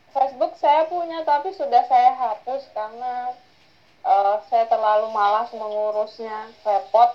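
Her voice is high-pitched, and this woman speaks at a fairly slow pace. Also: lively intonation. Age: 30s. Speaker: university lecturer. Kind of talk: interview.

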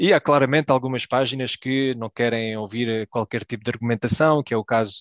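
With an unremarkable speaking voice, a man talks at a medium pitch with fairly even intonation in a dry, close sound with no echo. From Belgium, Portuguese family. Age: 30s. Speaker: football fan guest. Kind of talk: casual chat.

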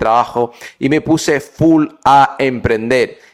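A man has a normal speaking voice at a medium pitch, with fairly even intonation. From Brazil. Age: 20s. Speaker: podcaster and entrepreneur. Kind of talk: motivational podcast monologue.

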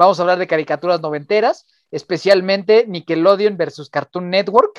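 Very fast speech comes from a high-pitched man with fairly even intonation. The sound is dry and close, with no echo. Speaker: podcast host. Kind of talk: casual chat. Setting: late-night remote recording.

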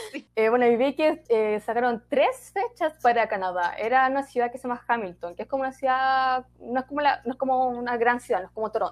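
A woman with a Chilean accent talks fast and high, with hardly any pauses. Her intonation is lively and her loudness swings widely. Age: 20s. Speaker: theatre student and podcaster. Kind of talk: casual chat.

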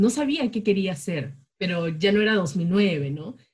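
Somewhat breathy speech at a fairly slow pace. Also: woman. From Peru, Chiclayo (northern coast), later Jaén. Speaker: podcast co-host, communicator. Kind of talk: casual chat.

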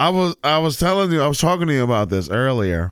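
A man speaks with very wide pitch swings. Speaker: podcast host. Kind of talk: casual chat. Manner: casual, jokey.

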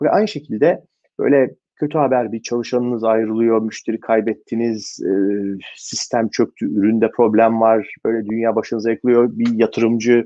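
The man's intonation stays monotone and flat. He speaks at a moderate pace and a medium pitch. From Turkey, Istanbul. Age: 40s. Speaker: venture capital investor. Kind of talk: interview. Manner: frequent filler hesitations.

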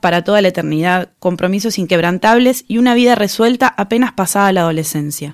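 In a Rioplatense accent, a woman with a medium pitch and lively intonation speaks very fast, the sound dry and close with no echo on a very clean recording with a silent background. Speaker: podcast host. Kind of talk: scripted narration.

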